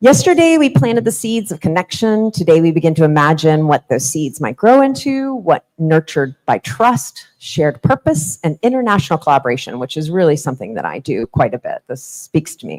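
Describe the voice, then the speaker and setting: A woman talks at a fairly quick pace with hardly any pauses, her very deep, low voice making very wide pitch swings and big swings in loudness, in a dry, close sound with no echo. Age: 40s. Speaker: conference keynote speaker. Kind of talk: conference keynote speech.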